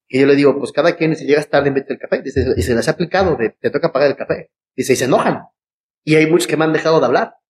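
With a Mexican accent and ordinary pitch variation, the speaker talks at a very fast pace in a dry, close sound with no echo. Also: man, fairly high pitch for a man. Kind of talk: casual chat.

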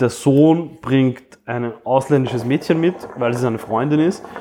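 A man's fairly even intonation comes across with noticeable background noise in the recording. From Austria, migrant family. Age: 30s. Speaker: podcast co-host. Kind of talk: casual chat.

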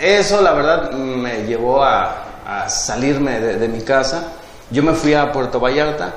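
Audible room echo and noticeable background noise surround a man with a fairly high pitch. He speaks at a fairly slow pace with ordinary pitch variation. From Mexico, Tepic, Nayarit. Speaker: entrepreneur. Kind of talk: interview, life story. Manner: hesitant, filler-heavy.

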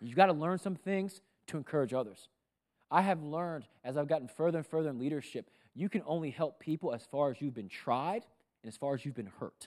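On a very clean recording with a silent background, a man with a fairly high pitch speaks at a fairly quick pace in an animated tone with lively intonation. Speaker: pastor. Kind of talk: sermon. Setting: church; stage with audience. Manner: animated, rousing preacher in full flow, pitching up with rhetorical questions; conversational, humorous, crowd-engaging.

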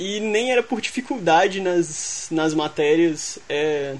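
Here a man talks at a very slow pace. His pitch is high. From Minas Gerais, Belo Horizonte. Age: 20s. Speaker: programmer and university student. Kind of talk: casual chat.

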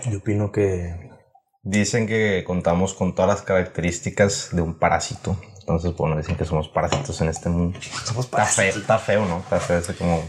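A man with a Mexican accent speaks at a fairly quick pace in a very deep, low voice, his intonation fairly even over noticeable background noise. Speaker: podcast co-host. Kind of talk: casual chat.

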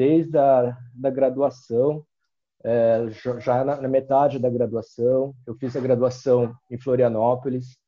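Here a man talks at a very slow pace. His tone is dark and mellow. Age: 40s. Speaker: university professor and skateboarder. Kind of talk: casual interview.

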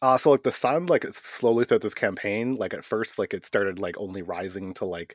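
Recorded very cleanly against a silent background, a man with an ordinary speaking voice talks at a fairly quick pace with ordinary pitch variation, the sound dry and close with no echo. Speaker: tabletop game master and podcast co-host. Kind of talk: casual chat.

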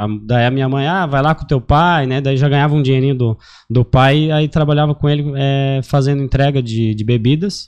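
This man has an unremarkable speaking voice with a fairly high pitch. He keeps a moderate pace with hardly any pauses and fairly even intonation. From Santa Catarina highlands, Brazil (Lages). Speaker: credit agent. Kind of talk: casual podcast interview.

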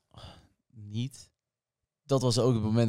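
A man talks at a moderate pace, his voice fairly low in pitch with a dark, mellow tone. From Portugal. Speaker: podcast co-host. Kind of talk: casual chat.

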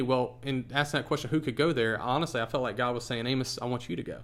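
A man with an American accent, medium pitch and a very fast pace. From US South, Charlotte area of North Carolina. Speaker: pastor. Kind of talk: casual interview.

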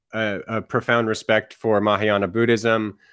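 A man of medium pitch speaks in a monotone, flat intonation. The recording is very clean, with a silent background. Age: 40s. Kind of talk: casual conversation.

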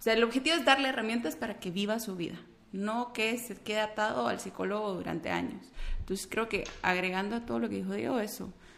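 A woman with a Guatemalan accent speaks with vocal fry and ordinary pitch variation. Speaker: clinical psychologist. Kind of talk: casual interview conversation.

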